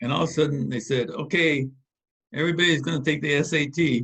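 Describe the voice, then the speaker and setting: Vocal fry marks a man's speech at a moderate pace, with ordinary pitch variation. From US West Coast, East Los Angeles. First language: Spanish. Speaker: engineer, organization founder. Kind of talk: interview. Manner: halting.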